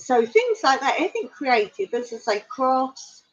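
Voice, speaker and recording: At a fairly slow pace, a woman with an English accent speaks with ordinary pitch variation. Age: 60s. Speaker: vlogger. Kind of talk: casual chat. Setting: livestream. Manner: halting.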